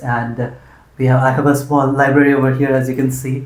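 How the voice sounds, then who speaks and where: In a room with audible echo, a man with an Indian accent speaks at a medium pitch. His somewhat breathy voice moves at a fairly quick pace. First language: Hindi. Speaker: interviewer, channel host. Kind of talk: casual interview conversation. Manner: hesitant, many fillers.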